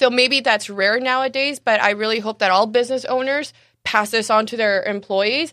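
In a quiet background, a bright, sharp tone moves at a moderate pace with fairly even intonation. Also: woman, fairly high pitch for a woman. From Mexicali, Mexico. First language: Spanish. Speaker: cafe owner. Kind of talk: casual interview. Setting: studio, live-streamed on Facebook.

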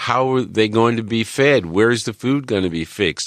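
Against a quiet background, a man talks in a normal speaking voice at a moderate pace with ordinary pitch variation. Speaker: radio host and chef. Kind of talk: interview.

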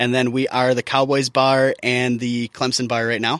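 Recorded with a dry, close sound with no echo, a man with an ordinary speaking voice and medium pitch talks at a moderate pace. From US Midwest. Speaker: chef. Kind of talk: interview.

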